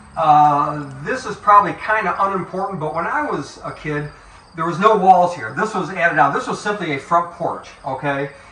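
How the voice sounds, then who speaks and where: A man with an American accent speaks at a moderate pace in a high voice, with big swings in loudness. The recording has audible room echo and noticeable background noise. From western New York, US. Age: 70s. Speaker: funeral director. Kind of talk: casual guided tour with reminiscing. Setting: walking through his childhood house and yard. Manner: conversational, halting with fillers.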